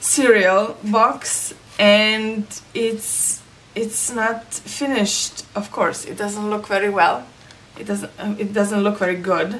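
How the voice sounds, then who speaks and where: A woman with a non-native accent speaks at a very slow pace with fairly even intonation. Her loudness swings widely, over noticeable background noise. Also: medium pitch for a woman. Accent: own non-native accent, disliked. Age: 30s. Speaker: crafting vlogger. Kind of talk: casual vlog talk. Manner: hesitant, many fillers.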